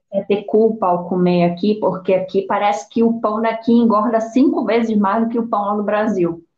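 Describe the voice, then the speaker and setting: A woman with a Pará accent at a fairly high pitch, moderate pace and fairly even intonation, hardly any pauses, with music in the background. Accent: Brazilian Portuguese, Pará (paraense). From Brazil, Belém, Pará. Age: 30s. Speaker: podcast co-host. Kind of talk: casual chat.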